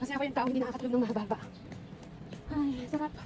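Speech races along at a very fast pace with fairly even intonation. Noticeable background noise sits behind it. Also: woman. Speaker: vlogger. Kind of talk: walking vlog. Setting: outdoors.

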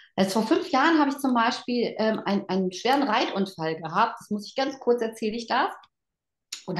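The voice has lively intonation and a moderate pace. There is audible room echo against a quiet background. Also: woman. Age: 50s. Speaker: network marketing team leader; guest, sales leader. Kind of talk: motivational talk. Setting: online event. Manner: animated. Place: home room. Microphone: video call.

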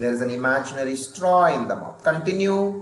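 A man with an Indian accent, animated yet calm in tone, with ordinary pitch variation, audible room echo and light background noise. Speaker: stress management trainer. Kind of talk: guided breathing meditation, calm and instructive. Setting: video call. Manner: slow, calm, gently paced; interactive, animated, encouraging. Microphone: video call.

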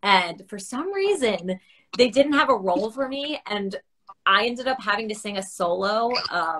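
With lively intonation and a moderate pace, a woman's voice comes through over a quiet background. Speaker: guest. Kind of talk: interview answer. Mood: friendly, laughing at times. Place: home room. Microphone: video call.

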